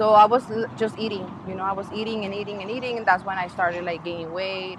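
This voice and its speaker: A woman with a Mexican accent speaks at a medium pitch with ordinary pitch variation. Noticeable background noise sits behind her. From Mexico (Ensenada, Baja California). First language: Spanish. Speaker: podcast guest sharing weight loss story. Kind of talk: casual interview. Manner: halting.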